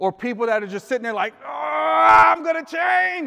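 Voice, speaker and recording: A man speaks in a raised, projected voice at a high pitch. His pace is moderate. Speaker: life coach and motivational speaker. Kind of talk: live motivational speech to a room of men. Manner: conversational, audience-interactive, casual.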